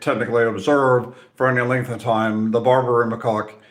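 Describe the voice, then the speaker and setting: Audible room echo surrounds the man as he talks. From Central Europe. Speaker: nature content creator. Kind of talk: casual Q&A talk to camera. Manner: halting, many fillers and repeats.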